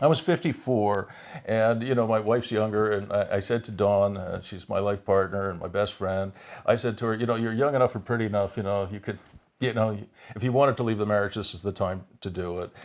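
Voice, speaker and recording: A man with a Canadian accent, fairly low in pitch, at a fairly quick pace with ordinary pitch variation, against a quiet background. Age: 60s. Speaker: business coach. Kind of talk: interview. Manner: halting, many repeated words.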